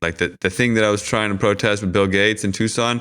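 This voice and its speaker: A man with an American accent speaks at a fairly low pitch with fairly even intonation. He has a plain, everyday voice. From Washington DC area. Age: 40s. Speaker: activist and filmmaker. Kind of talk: casual chat.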